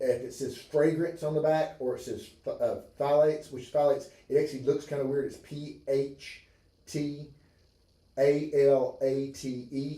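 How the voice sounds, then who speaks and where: Somewhat breathy, a man talks at a moderate pace and fairly high pitch with monotone, flat intonation. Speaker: chiropractor. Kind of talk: livestream health talk. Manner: halting.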